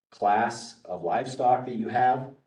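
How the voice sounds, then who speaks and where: Audible room echo surrounds a man whose medium-pitched voice has a dark, mellow tone. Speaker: workshop presenter on grazing management. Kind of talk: workshop lecture.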